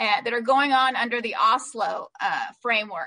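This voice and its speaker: A woman with an American accent speaks in a raised, projected voice, her tone bright and sharp, at a fairly slow pace. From Palestinian, US-educated. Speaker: human rights lawyer and policy fellow. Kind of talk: conference talk and Q&A.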